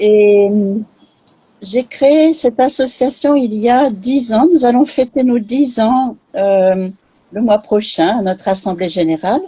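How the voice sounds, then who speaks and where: A woman with a dark, mellow tone and fairly high pitch speaks very slowly, her intonation lively and her loudness very even. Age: 60s. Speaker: charity president. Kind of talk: live interview. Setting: online live stream.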